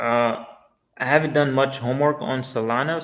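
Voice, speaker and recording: Audible room echo hangs around the voice. The man talks fairly slowly. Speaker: crypto livestreamer. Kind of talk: live stream chat reading viewer comments. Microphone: poor internet, stream may lag.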